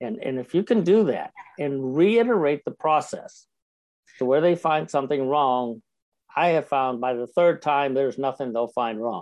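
A man talks at a moderate pace in a normal speaking voice, fairly high in pitch with lively intonation. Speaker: professional speaker and speaker coach. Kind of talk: interview.

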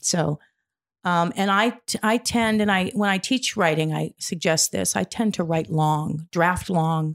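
A woman speaks in a plain, everyday voice, fairly low in pitch with ordinary pitch variation, at a fairly slow pace and very even loudness. The recording is very clean with a silent background and a dry, close sound with no echo. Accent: American. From US Midwest. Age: 60s. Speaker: poet and playwright. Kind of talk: casual interview.

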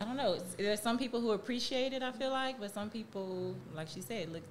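The woman's speech comes very fast and with lively intonation, while noticeable background noise carries through. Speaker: podcast co-host and entrepreneur. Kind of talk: casual chat.

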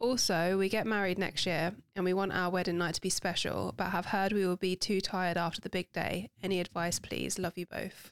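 Speaking at a fairly quick clip with a London accent, this voice stays monotone and flat, barely pausing, in a dry, close sound with no echo on a very clean recording with a silent background. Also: woman, medium pitch for a woman. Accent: cockney-tinged London. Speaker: podcast host. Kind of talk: casual chat.

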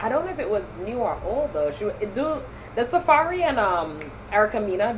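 Noticeable background noise runs under this recording. A woman speaks in an animated tone. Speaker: podcast host. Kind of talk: casual chat. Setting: recording a podcast. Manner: animated, teasing.

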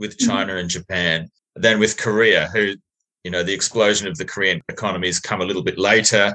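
Bright, sharp tone in an Australian accent, with ordinary pitch variation. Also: man. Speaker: podcast host. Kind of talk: interview, casual.

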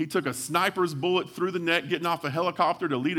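A man with a West Texas accent talks at a high pitch. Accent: West Texas drawl. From West Texas (Hawley, near Abilene). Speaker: pastor, church planter. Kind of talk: sermon.

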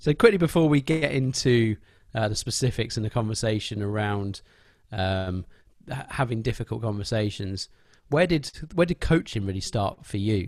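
The recording is very clean against a silent background. Lively intonation and a moderate pace mark an unremarkable speaking voice. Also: man, medium pitch for a man. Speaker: podcast host. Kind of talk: casual interview conversation.

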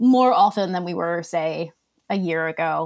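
The speaker is a woman with a medium pitch. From Australia. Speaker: e-commerce compliance specialist. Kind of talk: casual interview. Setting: video call.

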